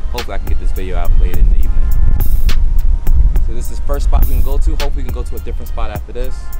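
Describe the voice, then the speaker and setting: Loud music plays in the background while a man speaks. The sound itself is dry with no echo. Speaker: sneaker vlogger. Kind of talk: casual vlog chat. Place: street.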